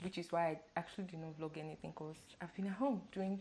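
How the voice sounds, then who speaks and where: Noticeable background noise sits beneath a voice with ordinary pitch variation. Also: woman. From Nigeria. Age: 20s. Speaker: lifestyle vlogger. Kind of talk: casual vlog talk to camera.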